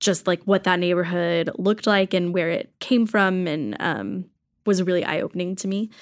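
A woman with an American accent has a plain, everyday voice, medium in pitch with ordinary pitch variation. She speaks at a moderate pace on a very clean recording with a silent background. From rural Texas. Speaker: church worker. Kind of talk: casual chat.

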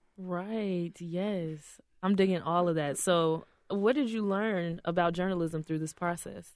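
The woman has a plain, everyday voice at a fairly low pitch with ordinary pitch variation. She speaks at a fairly slow pace against a quiet background. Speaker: podcast host. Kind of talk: interview.

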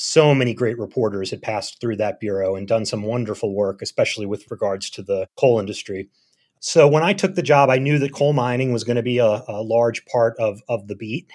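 In a very clean recording with a silent background, a man with an American accent talks at a medium pitch and a fairly quick pace in a plain, everyday voice. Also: ordinary pitch variation. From Philadelphia. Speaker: journalist and author. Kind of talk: interview.

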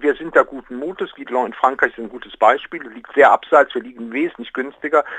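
A man's voice, dry and close, with no echo. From Rhineland, Aachen. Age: 60s. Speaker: project initiator. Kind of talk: interview.

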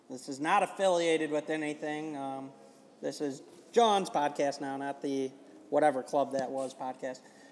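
This man has a plain, everyday voice with a fairly high pitch, ordinary pitch variation, a moderate pace and an American accent. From US Midwest, Chicago. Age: 20s. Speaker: driving instructor. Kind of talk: casual chat. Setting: clubhouse over food and drinks.

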